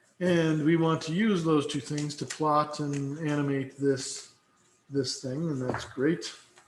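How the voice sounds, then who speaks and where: Speaking with fairly even intonation, a man with a fairly high voice is heard with audible room echo. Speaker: instructor. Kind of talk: lecture. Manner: slurred, loopy; halting with fillers.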